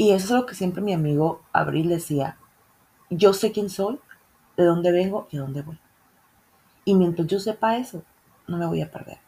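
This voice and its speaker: Animated in tone, a woman with a fairly low voice shows big swings in loudness and takes long, frequent pauses. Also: ordinary pitch variation, moderate pace. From northern Mexico. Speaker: podcast host. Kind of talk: casual chat.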